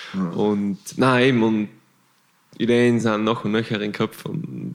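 This man talks at a very slow pace, his medium pitch showing ordinary variation. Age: 20s. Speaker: long-distance cyclist. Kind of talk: casual chat.

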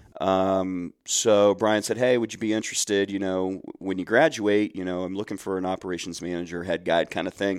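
On a very clean recording with a silent background, a man with a very deep, low voice and an American accent talks at a fairly quick pace with hardly any pauses and fairly even intonation. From Central Ohio. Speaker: nonprofit program director. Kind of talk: podcast interview.

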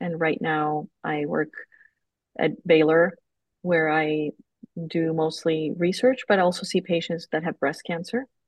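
With a Spanish accent, a woman speaks at a fairly slow pace and a fairly low pitch, pausing often and at length. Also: ordinary pitch variation. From Colombia. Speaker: oncologist and researcher. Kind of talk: casual interview. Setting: evening recording.

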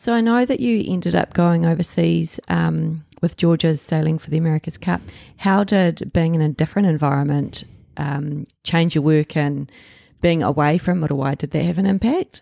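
In a New Zealand accent, a woman speaks at a moderate pace with a very deep, low pitch and ordinary pitch variation, in a dry, close sound with no echo. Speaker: artist acting as interviewer. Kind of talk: interview, casual chat.

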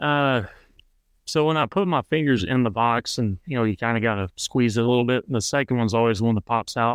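The speaker talks at a fairly quick pace in a Texan accent with ordinary pitch variation and very even loudness. The sound is dry and close with no echo, and the background is quiet. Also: man, medium pitch for a man. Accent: Texan American. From Central Texas. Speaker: competitive trap shooter. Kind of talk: casual interview.

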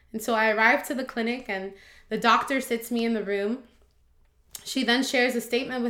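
A bright, sharp tone carries intonation that is fairly even. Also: woman. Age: 20s. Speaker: preschool teacher and cancer survivor. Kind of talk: testimony.

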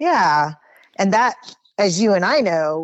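A woman's fairly low voice at a moderate pace. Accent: American. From Southern California, Oxnard. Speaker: YouTuber and monster truck driver. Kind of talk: casual interview.

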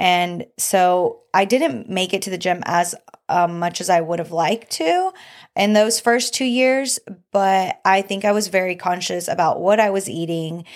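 An unremarkable speaking voice comes through on a very clean recording with a silent background. The pace is fairly slow, with ordinary pitch variation. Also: woman, medium pitch for a woman. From Mexican-American family. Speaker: wife and mother. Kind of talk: casual chat.

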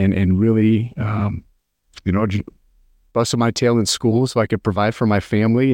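A man with an American accent speaks in an ordinary speaking voice at a fairly low pitch and a moderate pace. The sound is dry and close with no echo, against a quiet background. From US Midwest, rural western Nebraska. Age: 40s. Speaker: political candidate, emergency physician and military officer. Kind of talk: interview.

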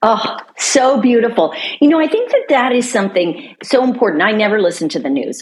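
Amid noticeable background noise, a woman talks at a fairly quick pace in an upbeat, enthusiastic tone with very wide pitch swings. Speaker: podcast host. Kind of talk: interview.

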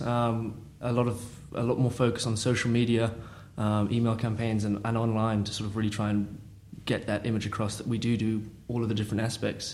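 With a London accent, a man speaks at a moderate pace and a medium pitch amid audible room echo. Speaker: family business employee. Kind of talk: interview conversation. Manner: hesitant.

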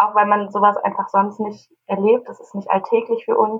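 This woman talks at a moderate pace with a medium pitch. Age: 20s. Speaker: youth association leader and student. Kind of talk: casual chat.

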